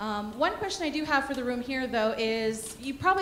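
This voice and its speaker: Very fast speech from a woman, amid noticeable background noise and audible room echo. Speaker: workshop presenter for a disaster relief organization. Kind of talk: conference workshop presentation. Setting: conference room with audience, handheld mic. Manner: loud.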